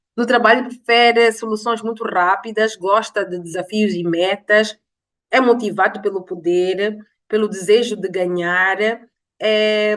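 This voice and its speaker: A woman talks at a fairly slow pace and fairly high pitch in a normal speaking voice. Her pitch varies in an ordinary way. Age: 40s. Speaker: life and business coach. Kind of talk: online masterclass lecture.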